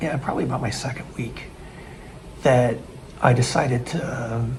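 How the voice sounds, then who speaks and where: In a room with audible echo, a man talks in an American accent. His pitch sits at a medium level. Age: 60s. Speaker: expat vlogger. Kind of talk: casual vlog narration. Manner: halting, many restarts.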